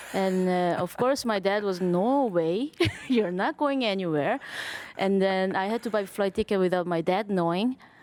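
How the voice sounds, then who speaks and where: With a Korean accent, a woman talks at a moderate pace, her medium-pitched voice showing ordinary pitch variation and very even loudness. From South Korea. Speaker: jazz drummer and bandleader. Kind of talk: interview. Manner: halting.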